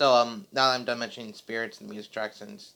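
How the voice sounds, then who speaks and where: On a very clean recording with a silent background, a man talks fairly quickly in a medium pitch with a bright, sharp tone and ordinary pitch variation. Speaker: gaming YouTuber. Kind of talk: casual video commentary. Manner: bored-sounding; halting, many fillers.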